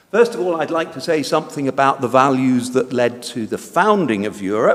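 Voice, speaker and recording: Lively intonation marks a man's medium-pitched voice at a moderate pace. Noticeable background noise is present. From Britain. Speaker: conference speaker. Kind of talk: lecture. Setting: conference hall. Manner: hesitant, many fillers.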